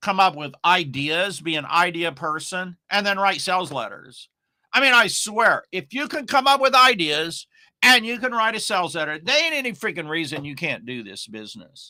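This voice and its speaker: A man's raised, projected voice at a high pitch, with very wide pitch swings, big swings in loudness and a moderate pace. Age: 60s. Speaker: online marketing coach. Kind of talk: casual monologue. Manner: rambling, filler-heavy.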